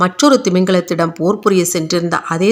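An unforced reading voice, its intonation fairly even throughout

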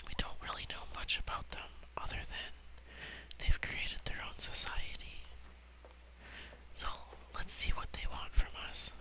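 A man whispering in a relaxed tone at a moderate pace, with long, frequent pauses, big swings in loudness and noticeable background noise. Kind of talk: whispered gaming commentary. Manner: whispered, soft-spoken, relaxed.

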